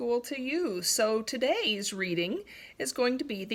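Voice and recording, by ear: This is someone reading aloud. The voice stays natural.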